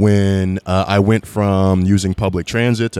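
Dry and close with no echo, the very clean recording with a silent background captures a man with a fairly low pitch, a dark, mellow tone and ordinary pitch variation. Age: 30s. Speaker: HR recruiting manager and podcaster. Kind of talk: casual interview.

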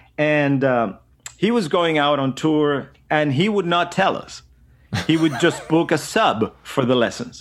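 In a Venezuelan accent, a man speaks at a fairly high pitch and a fairly slow pace with lively intonation. The recording is very clean, with a silent background. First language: Spanish. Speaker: drummer and educator. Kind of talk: casual interview chat.

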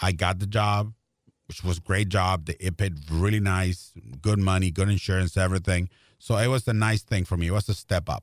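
A man with a Spanish accent and a very deep, low pitch, fairly quick in pace and fairly even in intonation, in a very clean recording with a silent background and a dry, close sound with no echo. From Mexico, Tijuana. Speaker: Spanish-language baseball broadcaster. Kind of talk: interview conversation. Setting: studio.

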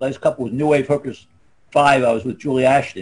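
This is a man with a Philadelphia accent. His pitch sits in the medium range. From US Northeast, Philadelphia. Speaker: former adult film actor. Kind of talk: casual chat. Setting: video call.

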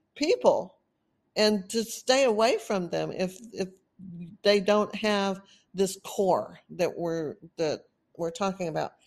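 The speaker talks at a fairly slow pace with a Texan accent. The background is quiet. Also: woman. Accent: Texan, noticeable. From Texas. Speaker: podcast host on narcissistic abuse recovery. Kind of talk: solo monologue, educational talk. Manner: casual, rambling, laughs often.

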